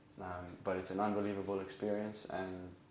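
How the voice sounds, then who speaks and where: Audible room echo surrounds a man speaking in a fairly low pitch with flat, monotone intonation. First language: Hebrew. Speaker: acupuncture student. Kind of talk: interview. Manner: hesitant with frequent um.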